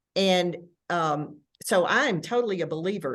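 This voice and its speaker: Someone with a Tennessee accent speaks at a fairly slow pace against a quiet background. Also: woman. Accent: Southern US (Tennessee), self-noted. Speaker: arts administrator. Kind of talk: panel discussion.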